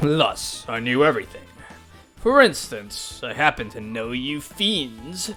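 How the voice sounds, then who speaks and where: Someone uses a put-on character voice at a low-to-middle pitch and a fairly slow pace, with faint music in the background. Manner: angry, menacing.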